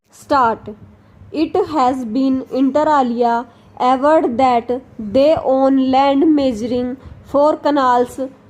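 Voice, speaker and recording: Very slowly and at a very even loudness, a woman with a high pitch speaks with fairly even intonation. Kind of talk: shorthand dictation. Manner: slow, measured.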